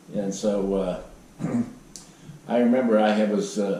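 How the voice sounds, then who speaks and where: A man with an American accent at a very slow pace, amid noticeable background noise. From Southwestern Pennsylvania. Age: 80s+. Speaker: former professional baseball pitcher. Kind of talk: interview answer.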